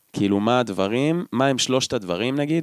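A man talks at a fairly quick pace with lively intonation. He has a normal speaking voice at medium pitch. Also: very clean recording, silent background. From central Israel. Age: 20s. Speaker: podcast co-host. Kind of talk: casual chat. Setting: at co-host's home.

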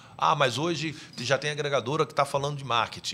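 There is vocal fry in this man's bright, sharp voice as he speaks at a fairly quick pace. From Niterói, Rio de Janeiro, Brazil. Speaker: gospel music industry executive and mentor. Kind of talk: podcast interview.

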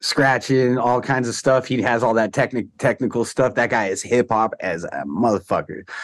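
A plain, everyday voice at a moderate pace against a quiet background. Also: man. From US West Coast, Orange County, Southern California. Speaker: DJ and hip hop producer. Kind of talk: casual chat.

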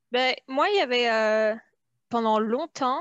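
A dry, close recording with no echo of a woman at a fairly high pitch, her intonation fairly even. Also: quiet background. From France. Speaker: immigrant guest. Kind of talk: casual chat.

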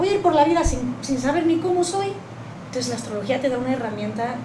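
A woman speaks with audible room echo. Noticeable background noise is present too. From Spain. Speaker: astrology teacher and alternative therapist. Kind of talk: panel discussion on astrology.

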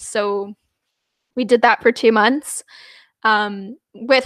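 The speaker has a Canadian accent and a monotone, flat intonation. The sound is dry and close with no echo. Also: woman. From Canada, New Westminster and Surrey, BC. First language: Punjabi. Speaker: music PR specialist. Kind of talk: interview.

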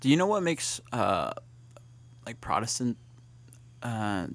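A man's medium-pitched voice with lively intonation and vocal fry. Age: 20s. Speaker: college student hosting a campus talk show. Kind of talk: casual chat. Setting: campus studio broadcast.

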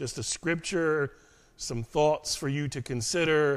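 In a very clean recording with a silent background, a man with a fairly high pitch talks at a fairly slow pace in a normal speaking voice. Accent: American. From United States. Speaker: pastor. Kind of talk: sermon.

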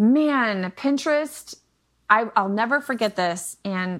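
A woman's medium-pitched, unremarkable speaking voice with ordinary pitch variation. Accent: American. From Michigan, US Midwest. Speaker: online business coach and homeschooling mother. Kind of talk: casual interview chat. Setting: remote podcast recording.

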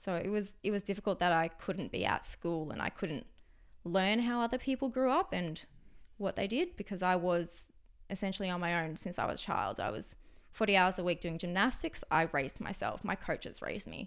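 A woman with an ordinary speaking voice talks at a fairly quick pace, her medium pitch varying in an ordinary way on a very clean recording with a silent background. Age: 20s. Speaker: meditation teacher, former ski aerialist. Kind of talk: casual conversation interview.

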